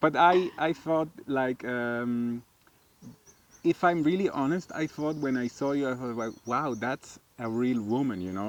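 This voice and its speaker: A man with a non-native accent at medium pitch, fairly slow pace and ordinary pitch variation, in a dry, close sound with no echo. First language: not English. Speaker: vlogger's husband. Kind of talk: casual chat. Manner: hesitant, searching for words.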